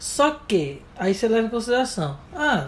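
There is noticeable background noise. Over it, a man talks in a high voice. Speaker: podcast co-host. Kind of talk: casual chat. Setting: home bedroom.

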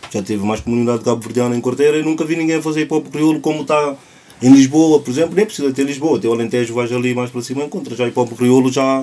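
Very fast speech from a man at medium pitch, ordinary pitch variation, noticeable background noise behind him. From Cape Verde. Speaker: clothing brand founder, social project leader. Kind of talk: casual chat.

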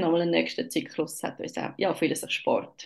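Talking at a moderate speed, a woman is heard over a quiet background. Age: 30s. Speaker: mother sharing birth story. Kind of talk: personal testimony. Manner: hesitant, many filler sounds.

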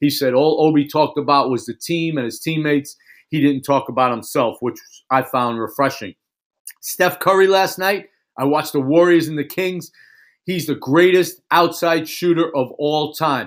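A man with an unremarkable speaking voice talks at a moderate pace and fairly high pitch, with ordinary pitch variation, in a very clean recording with a silent background. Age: 50s. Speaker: podcast host and basketball coach. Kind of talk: solo podcast monologue. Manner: casual, conversational.

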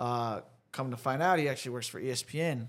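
An American accent marks this man's normal speaking voice, which has ordinary pitch variation and a fairly quick pace. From Dallas, Texas. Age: 20s. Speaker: social entrepreneur and podcaster. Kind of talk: casual interview chat. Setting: studio.

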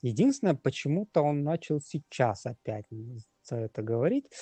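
This is a man with a fairly high pitch. His pace is moderate. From Russian Far East (Magadan). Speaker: brain cancer patient and blogger. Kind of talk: interview testimony. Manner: halting, many fillers.

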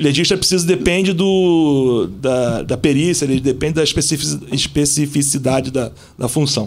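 With a plain, everyday voice, a man talks at a fairly slow pace with very even loudness, ordinary pitch variation and hardly any pauses. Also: fairly high pitch for a man. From Rio de Janeiro (Zona Sul). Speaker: police officer and celebrity bodyguard. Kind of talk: casual chat.

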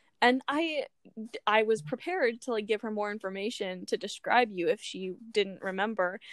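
In an American accent, a woman with an unremarkable speaking voice talks at a fairly high pitch and moderate pace with lively intonation, in a dry, close sound with no echo. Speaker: podcast co-host. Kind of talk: casual chat.

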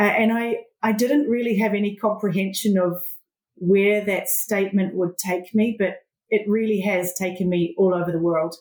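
Speaking at a moderate pace, a woman with a New Zealand accent holds a medium pitch with fairly even intonation. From New Zealand (Southland/Catlins area). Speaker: agribusiness project manager. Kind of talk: interview. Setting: remote call.

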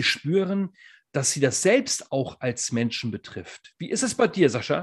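A somewhat breathy man speaks at a fairly slow pace. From northern Germany. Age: 40s. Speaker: podcast co-host, former teacher and coach. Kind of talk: casual chat.

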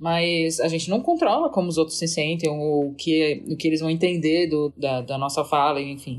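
A woman with a very deep, low pitch speaks at a moderate pace in fairly even intonation, with hardly any pauses. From Santa Catarina, Brazil (Florianópolis). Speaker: agile and organizational culture consultant. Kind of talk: casual podcast conversation.

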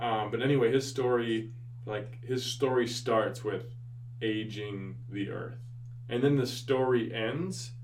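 This man talks at a very slow pace with an American accent. His intonation is monotone and flat, and there is noticeable background noise. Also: medium pitch for a man. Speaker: podcast host and high school teacher. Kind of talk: casual interview conversation.

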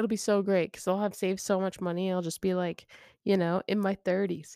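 A woman with an American accent, a normal speaking voice, and medium pitch at a moderate pace, in a dry, close sound with no echo on a very clean recording with a silent background. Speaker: podcast co-host. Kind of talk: casual banter. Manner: joking, playful.

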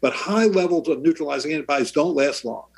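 The speech races along at a very fast pace with lively intonation. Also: man. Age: 60s. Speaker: pediatrician and vaccine expert. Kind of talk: interview.

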